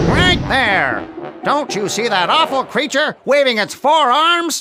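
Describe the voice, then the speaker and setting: A cartoonish character voice talks at a fairly slow pace while faint music plays in the background. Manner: grandiose, theatrical.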